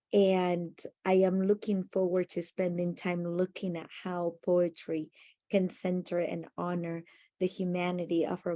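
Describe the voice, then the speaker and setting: A woman with a Spanish accent, fairly low in pitch and dark, mellow in tone, at a fairly slow pace with monotone, flat intonation. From Argentina, Buenos Aires. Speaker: educator. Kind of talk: conference presentation.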